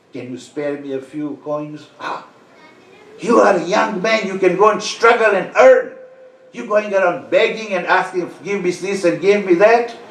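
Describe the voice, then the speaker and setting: Amid noticeable background noise and audible room echo, a man with a high pitch talks at a moderate pace, his loudness swinging widely. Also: ordinary pitch variation. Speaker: Islamic preacher. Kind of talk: sermon.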